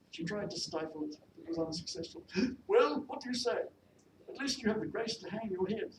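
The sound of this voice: The delivery is an unforced reading voice. It reads without strain.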